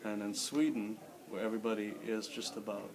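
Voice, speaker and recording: The speech moves at a moderate pace amid noticeable background noise and audible room echo. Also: man. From Philippines, Manila. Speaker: immigrant interviewee, former English teacher. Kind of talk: interview.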